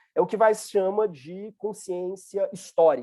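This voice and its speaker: A man speaks here. His intonation is lively. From Brazil, Minas Gerais. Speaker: university professor. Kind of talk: lecture.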